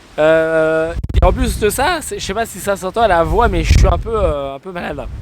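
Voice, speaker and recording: Over noticeable background noise, a man talks at a moderate pace, his loudness rising and falling sharply. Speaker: DIY renovation vlogger. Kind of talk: casual vlog narration. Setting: outdoors on building site.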